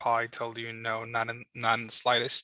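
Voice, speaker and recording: A man with a Chicago accent, medium in pitch, bright and sharp in tone, recorded dry and close with no echo against a very clean, silent background. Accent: Chicago American English. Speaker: government liaison. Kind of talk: information session presentation. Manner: hesitant, many filler words.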